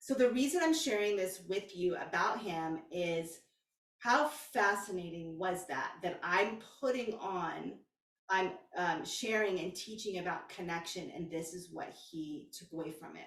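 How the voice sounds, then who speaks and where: Fairly slow, animated delivery with an American accent, ordinary pitch variation and audible room echo. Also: woman, medium pitch for a woman. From Texas. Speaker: spiritual coach. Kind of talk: casual vlog monologue.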